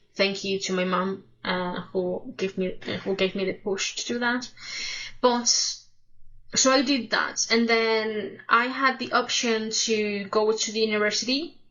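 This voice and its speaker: Someone with a Spanish accent talks at a fairly slow pace. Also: woman, fairly high pitch for a woman, fairly even intonation. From Spain. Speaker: music reaction youtuber. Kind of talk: casual personal storytelling to camera. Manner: halting, self-correcting.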